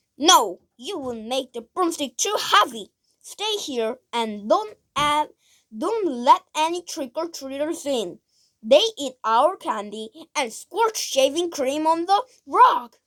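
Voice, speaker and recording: A woman's put-on character voice, high-pitched, at a fairly slow pace. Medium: read story. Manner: bossy, dismissive.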